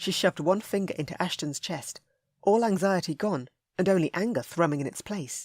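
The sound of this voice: Ordinary pitch variation in an unforced reading voice against a quiet background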